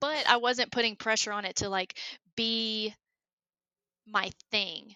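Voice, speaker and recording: In a strong Southern US accent, a woman speaks at a fairly slow pace. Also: fairly high pitch for a woman. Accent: thick southern. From US South, Alabama. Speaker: engineer and creative hobbyist. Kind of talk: casual chat. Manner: animated.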